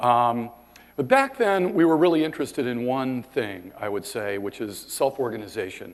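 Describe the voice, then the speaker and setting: At a medium pitch, a man speaks with ordinary pitch variation. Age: 50s. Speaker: scientist giving invited conference talk. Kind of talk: lecture. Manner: halting, many fillers.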